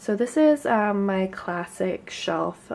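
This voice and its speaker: Soft-spoken, a woman talks with lively intonation. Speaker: booktuber. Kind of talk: casual chat. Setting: at home, beside front door.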